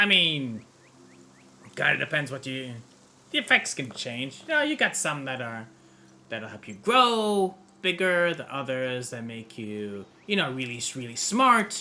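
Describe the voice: A man puts on a character voice, pitched in the middle range. His tone is bright and sharp, with big pitch swings. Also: fairly slow pace.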